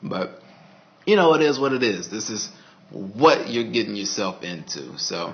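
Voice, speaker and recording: A man with an American accent speaks at a moderate pace with a fairly low pitch and lively intonation. Noticeable background noise runs beneath him. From Texas, Dallas. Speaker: vlogger, network engineer. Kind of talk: casual video diary monologue. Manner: casual, halting with fillers.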